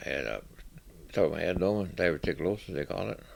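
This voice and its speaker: A man's very deep, low voice with vocal fry at a fairly quick pace. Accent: Upper Midwest. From northern Michigan. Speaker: senior community member. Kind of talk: personal testimony.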